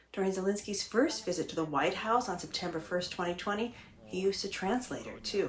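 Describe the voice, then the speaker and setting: Noticeable background noise accompanies a woman as she talks at a fairly quick pace. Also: medium pitch for a woman, ordinary pitch variation. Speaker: political scientist. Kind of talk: explainer talk to camera.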